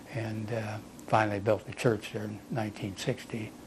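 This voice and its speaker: Talking at a fairly quick pace with an American accent, a man sounds somewhat breathy at a fairly low pitch. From US Midwest, southwest Ohio. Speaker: war veteran. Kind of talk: oral history interview. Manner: halting.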